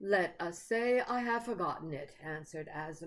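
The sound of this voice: With lively intonation, the reading voice stays unforced.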